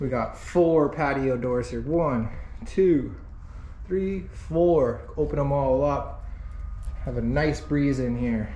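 Amid light background noise and audible room echo, a man talks at a very slow pace with long, frequent pauses. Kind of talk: casual vlog chat. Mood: amused, enthusiastic. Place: home room. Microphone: phone near.

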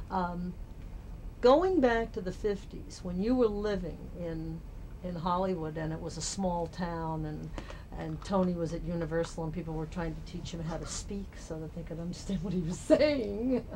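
Fairly low-pitched woman at a moderate pace, ordinary pitch variation, big swings in loudness, and light background noise. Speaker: interviewer. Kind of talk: interview question. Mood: calm, conversational. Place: home room.

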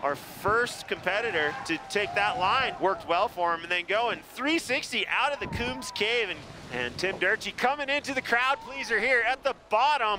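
A man in a raised, projected voice speaks at a moderate pace, with a dry sound with no echo and noticeable background noise. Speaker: event commentator. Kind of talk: live sports commentary.

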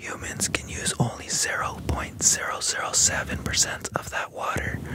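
Whispering, a man delivers his words at a fairly slow speed. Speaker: ASMR artist; ASMR creator. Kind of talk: ASMR sleep fact narration. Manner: whispered. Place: home room. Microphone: studio mic.

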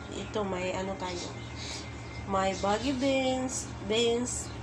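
A woman is speaking. Background noise is noticeable behind her. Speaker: home cook vlogger. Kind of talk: casual cooking tutorial. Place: kitchen. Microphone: phone near.

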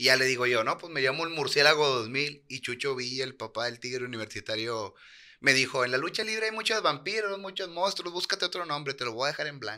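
A man speaks very fast with a northern Mexican accent and lively intonation. His tone is bright and sharp, and the background is quiet. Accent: northern Mexican (norteño) Spanish. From Monterrey, Nuevo León, Mexico. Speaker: professional wrestler. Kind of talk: casual interview. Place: studio. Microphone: studio mic.

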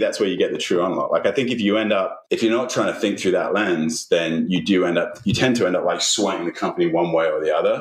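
At a fairly quick pace, this man talks with a British accent. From UK. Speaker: chief marketing officer. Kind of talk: interview. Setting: remote recording.

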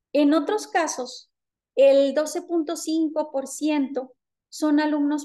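Against a quiet background, a woman with a Mexican accent speaks in a dark, mellow tone. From Mexico, Jalisco. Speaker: university lecturer and researcher; university lecturer. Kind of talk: conference presentation. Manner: formal. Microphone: webcam.

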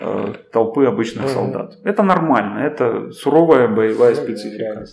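A man speaks over light background noise. The room adds an audible echo. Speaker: lecturer on history. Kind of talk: lecture. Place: office. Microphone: camera far.

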